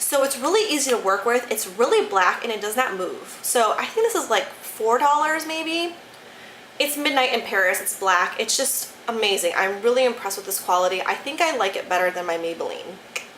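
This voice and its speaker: A woman with an American accent, high-pitched with very wide pitch swings, at a fairly quick pace, amid audible room echo and noticeable background noise. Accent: Michigan accent, shows at times. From Detroit, Michigan. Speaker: beauty YouTuber. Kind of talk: casual product review vlog. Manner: animated, enthusiastic.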